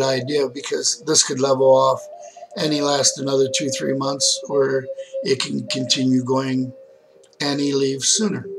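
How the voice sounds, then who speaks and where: Against background music, a man with a fairly high voice speaks at a moderate pace. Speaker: video diarist in hospice care. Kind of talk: personal video diary. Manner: slurred words.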